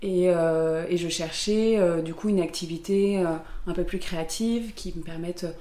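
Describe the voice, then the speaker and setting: Through noticeable background noise and audible room echo, a woman speaks at a fairly slow pace with medium pitch and fairly even intonation. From southern France, Aix-en-Provence. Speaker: pottery studio founder. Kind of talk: interview. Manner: halting, many fillers and repeats.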